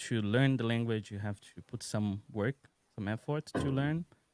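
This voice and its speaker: Recorded with a dry, close sound and no echo, a man with a Brazilian accent speaks at medium pitch with ordinary pitch variation. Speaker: UX designer, content creator. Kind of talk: casual chat.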